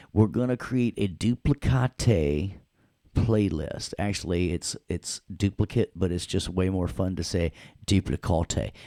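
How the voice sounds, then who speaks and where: This voice has a Southern US accent, a dark, mellow tone, vocal fry and a playful tone, with lively intonation at a fairly slow pace. The sound is dry and close, with no echo. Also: man, very deep, low pitch for a man. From US South, Tennessee. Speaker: audio production instructor. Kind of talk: tutorial. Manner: casual, playful.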